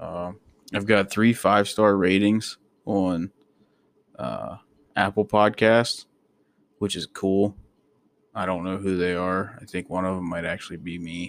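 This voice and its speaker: A man with an American accent and a fairly low pitch, in monotone, flat intonation at a fairly slow pace with long, frequent pauses. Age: 20s. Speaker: podcaster, soldier. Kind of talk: casual monologue. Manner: rambling with many fillers.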